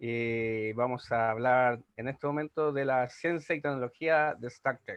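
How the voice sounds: A man speaks at a fairly slow pace in a clear, smooth tone, his medium pitch showing little movement.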